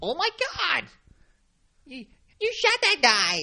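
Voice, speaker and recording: A high-pitched voice. It is a put-on character voice. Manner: shocked, exclaiming.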